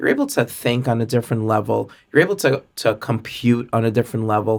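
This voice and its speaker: This is a normal speaking voice at a fairly quick pace. The recording is very clean, with a silent background. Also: man. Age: 40s. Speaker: sales and customer experience expert. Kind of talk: podcast interview.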